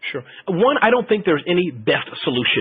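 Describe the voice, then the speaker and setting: A man talks against noticeable background noise. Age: 40s. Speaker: marketing expert presenter. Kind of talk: webinar Q&A. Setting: webinar.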